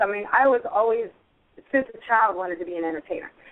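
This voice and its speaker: Speaking at a very fast pace, a woman with an American accent makes very wide pitch swings. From Pittsburgh area, western Pennsylvania. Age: 50s. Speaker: singer. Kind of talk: interview.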